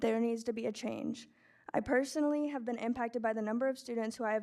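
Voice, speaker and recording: A woman with a fairly high voice talks at a very fast pace. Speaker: public commenter, former student. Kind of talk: prepared public comment speech. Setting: school board meeting.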